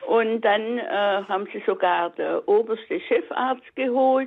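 A woman speaks very slowly, her voice fairly high. Her intonation is lively. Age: 80s+. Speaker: radio caller. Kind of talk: call-in testimony.

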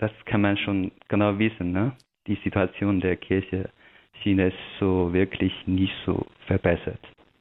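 In a Chinese accent, a man speaks at a very slow pace with a very deep, low pitch, monotone, flat intonation, very even loudness, and long, frequent pauses. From China. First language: Chinese (speaking German). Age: young. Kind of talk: radio interview. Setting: remote connection. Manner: halting.

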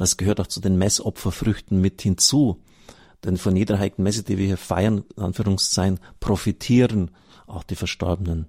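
Recorded very cleanly with a silent background and a dry, close sound with no echo, a man speaks in a dark, mellow, somewhat breathy tone with a slight Bavarian accent. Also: fairly low pitch for a man, fairly even intonation, moderate pace. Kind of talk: reading aloud from a book with commentary.

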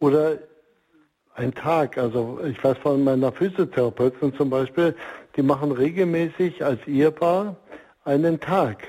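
At a very slow pace, a man with a fairly high pitch speaks in a dark, mellow tone. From East Germany. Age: 60s. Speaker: marriage counselor and organization leader. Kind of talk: radio interview. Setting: remote line.

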